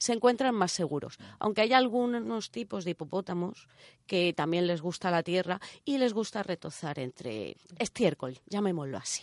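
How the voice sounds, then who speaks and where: A woman's voice with very wide pitch swings, dry and close with no echo. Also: medium pitch for a woman, moderate pace, quiet background. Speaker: radio co-host, engineer. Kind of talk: casual chat. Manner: put-on sultry voice in intro.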